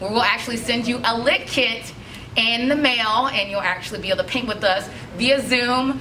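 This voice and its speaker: Pitch varies in an ordinary way over light background noise. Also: woman. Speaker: studio instructor. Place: shop.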